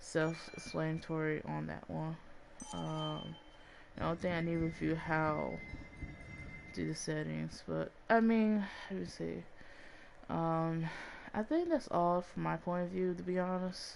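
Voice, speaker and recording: A woman in a Southern US accent at a fairly slow pace, with long, frequent pauses. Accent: sounds country, Southern-like. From Chicago, US Midwest. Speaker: gaming vlogger. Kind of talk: casual game review vlog. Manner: halting, many fillers.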